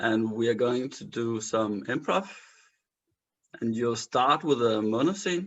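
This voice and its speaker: A man with a Danish accent at a medium pitch, lively in intonation, with a fairly slow pace and long, frequent pauses. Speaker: improviser, show host. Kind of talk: casual chat.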